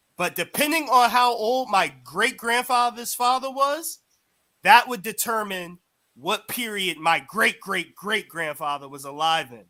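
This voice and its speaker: A man projects a raised voice with a bright, sharp tone and a high pitch. He speaks at a fairly slow pace with very wide pitch swings. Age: 20s. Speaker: caller. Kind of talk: heated debate. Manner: halting.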